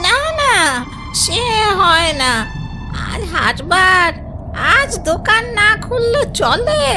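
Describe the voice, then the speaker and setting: Loud music plays behind a female-sounding, cartoonish character voice at an extremely high pitch for a woman and a fairly slow pace. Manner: affectionate, rustic speech.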